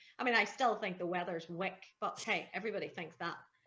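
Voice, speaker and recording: A woman with a Belfast accent. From Northern Ireland. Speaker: TV and radio broadcaster. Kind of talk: interview answer. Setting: outdoors.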